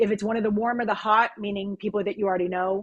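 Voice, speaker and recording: The delivery is very fast. The tone is animated. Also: woman. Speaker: business development consultant for design firms. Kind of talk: webinar Q&A.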